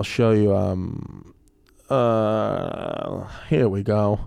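A man with a New York accent is heard on a very clean recording with a silent background. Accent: New York accent, noticeable. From New York, Brooklyn. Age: 30s. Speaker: comedian. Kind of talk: casual chat.

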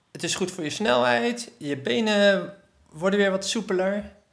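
A high-pitched man's voice on a very clean recording with a silent background. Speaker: running coach and PE teacher. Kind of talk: casual chat. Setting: at a kitchen table at home. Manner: hesitant, many filler sounds.

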